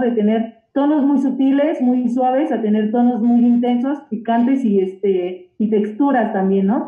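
At a moderate pace, a woman speaks at a high pitch with ordinary variation. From Mexico, Oaxaca. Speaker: chef. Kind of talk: casual chat.

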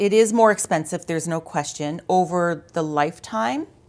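Using a normal speaking voice, a woman with a Canadian accent speaks at a fairly low pitch with lively intonation. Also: hardly any pauses, big swings in loudness. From Ontario, Canada (London). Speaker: insurance sales manager. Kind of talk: interview. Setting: studio.

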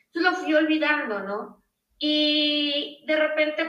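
A woman talks with ordinary pitch variation, audible room echo around her voice. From Mexico, Nuevo León. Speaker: space lawyer. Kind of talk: interview.

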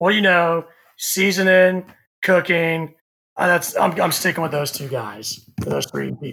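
A high-pitched man with a Texan accent speaks at a fairly slow pace, his tone bright and sharp, his pitch variation ordinary. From Texas, Houston area (Katy). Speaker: barbecue content creator. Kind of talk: casual chat. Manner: animated.

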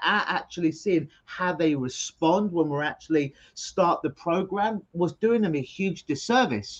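Here is a man with a London accent and a high pitch, sounding animated. He keeps a moderate pace and ordinary pitch variation. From London, England. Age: 40s. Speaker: hypnotherapist. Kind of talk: interview. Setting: video call.

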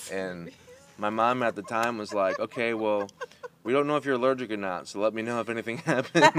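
A man talks fairly quickly while noticeable background noise carries on around him. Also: medium pitch for a man, ordinary pitch variation. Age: 30s. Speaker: podcast host. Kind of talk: casual chat.

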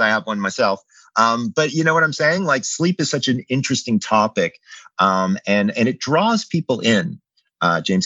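The man's medium-pitched voice moves with lively intonation. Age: 50s. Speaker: clinical psychologist and sleep expert. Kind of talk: interview. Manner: casual, hesitant fillers.

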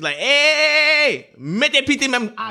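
The speaker is a man. He raises and projects his voice. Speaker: guest, friend of host. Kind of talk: casual chat.

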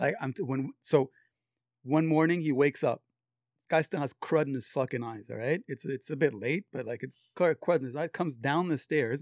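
Here is a man with an ordinary speaking voice, fairly high in pitch and moderate in pace, with ordinary pitch variation. The recording is very clean, with a silent background and a dry, close sound with no echo. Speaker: friend of the guest. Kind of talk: casual chat.

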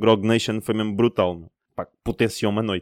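A man speaks at a very fast pace in a fairly low pitch. His intonation is flat and monotone. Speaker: podcast host. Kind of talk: casual chat.

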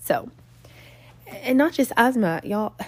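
Here a woman talks slowly with lively intonation. Her pitch is fairly high.

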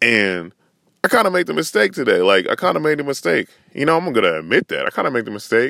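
Very fast and full of vocal fry, a man talks in an American accent at a fairly high pitch. His pitch swings very widely, and the sound is dry and close with no echo. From Northern California. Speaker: podcast host. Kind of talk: solo rant. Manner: casual, filler-heavy with repetitions.

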